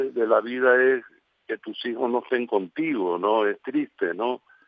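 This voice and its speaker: A man at a medium pitch, very slow pace and fairly even intonation. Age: 80s+. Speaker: painter, sculptor and actor. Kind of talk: radio interview. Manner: halting.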